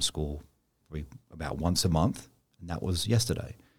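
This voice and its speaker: Vocal fry runs through speech at a fairly quick pace. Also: man. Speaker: bank executive. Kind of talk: interview. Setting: studio.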